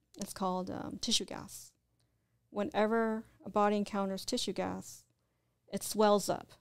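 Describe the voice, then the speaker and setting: Soft-spoken and fairly even in intonation, the voice moves at a moderate pace with long, frequent pauses. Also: woman, medium pitch for a woman. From Southern California, Orange County. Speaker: spiritual practitioner, former mortician and corrections officer. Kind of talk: interview.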